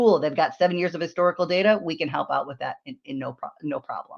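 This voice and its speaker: A woman talks at a very fast pace with a fairly low pitch and ordinary pitch variation. The background is quiet. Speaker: software vendor sales presenter. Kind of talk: webinar sales presentation. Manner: animated.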